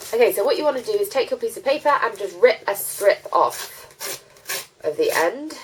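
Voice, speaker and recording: With a British accent, a woman speaks at a fairly quick pace in a high pitch, her pitch swinging very widely against noticeable background noise. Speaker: beauty vlogger. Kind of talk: tutorial. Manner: casual, hesitant with fillers.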